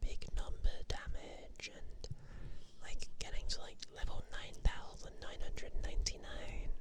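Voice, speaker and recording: Whispering at a fairly slow pace, a woman keeps a relaxed, gentle tone. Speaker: ASMR vtuber / streamer. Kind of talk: ASMR sleep talk about games. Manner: soft-spoken, relaxed, gentle.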